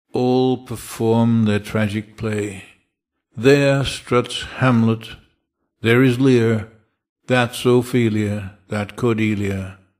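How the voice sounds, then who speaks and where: A man speaks at a medium pitch in a flat, monotone way and a very slow pace, recorded very cleanly against total silence. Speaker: poet reading. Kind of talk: reading a poem aloud, measured and dramatic. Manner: slow, deliberate, expressive.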